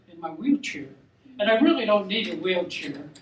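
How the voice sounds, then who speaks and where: A man speaks at a high pitch and a moderate pace. Noticeable background noise and audible room echo come through. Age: 80s+. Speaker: war veteran, amateur comedian. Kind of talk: stand-up. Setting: stage with audience. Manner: halting.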